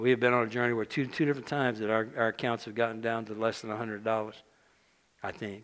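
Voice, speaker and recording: A man talks at a very fast pace. His medium-pitched voice stays monotone and flat. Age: 60s. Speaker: preacher. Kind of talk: sermon. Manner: halting.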